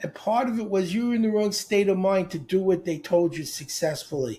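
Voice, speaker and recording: A high-pitched man with a dark, mellow tone and lively intonation. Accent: American. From New York (Brooklyn). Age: 70s. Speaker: speed reading coach. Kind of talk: podcast interview.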